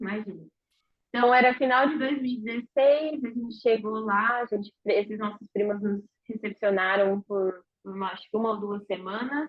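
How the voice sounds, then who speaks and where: At a moderate pace, a woman with a normal speaking voice talks in a fairly high pitch with ordinary pitch variation. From interior of São Paulo state, Brazil. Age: 20s. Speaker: interviewee, emigrant. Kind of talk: casual interview chat.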